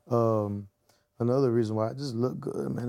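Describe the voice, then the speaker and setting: This man has a dark, mellow tone. He speaks in an American accent. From Texas, south of Houston (288 South). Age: 20s. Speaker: rapper. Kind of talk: casual interview chat.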